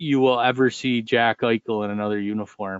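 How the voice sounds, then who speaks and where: A man talks at a moderate pace with fairly even intonation. He has an unremarkable speaking voice. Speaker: podcast co-host. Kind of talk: casual banter.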